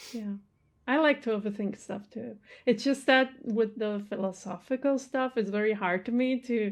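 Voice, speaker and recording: With a non-native accent, a woman talks at a moderate pace in a fairly high voice with ordinary pitch variation. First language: not English. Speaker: movie reaction youtuber. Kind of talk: casual chat. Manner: halting.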